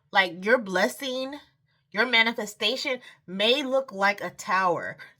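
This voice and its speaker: A woman's fairly high pitch and bright, sharp tone at a moderate pace. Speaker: tarot reader. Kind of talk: tarot reading monologue. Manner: halting, with fillers and restarts.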